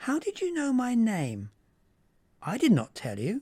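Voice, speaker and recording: Speaking at a moderate pace, a man puts on a character voice with an extremely high pitch. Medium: read story. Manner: superior, haughty.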